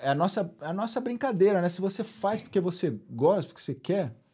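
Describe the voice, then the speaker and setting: This man's voice has a high pitch and a dark, mellow tone. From Rio de Janeiro, Brazil. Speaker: guitarist and musician. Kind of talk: casual interview chat. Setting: podcast studio.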